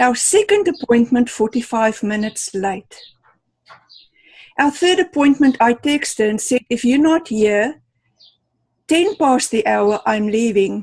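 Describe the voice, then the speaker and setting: Speaking in a non-native accent at a fairly slow pace, the voice is broken by long, frequent pauses. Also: woman, high pitch for a woman, lively intonation. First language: not English. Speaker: club member giving a speech. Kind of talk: prepared speech. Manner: animated, storytelling.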